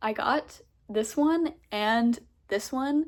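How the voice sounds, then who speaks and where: An ordinary speaking voice comes through with ordinary pitch variation. The recording is very clean, with a silent background. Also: woman. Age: 20s. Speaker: vlogger. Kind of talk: casual chat. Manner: casual, many fillers.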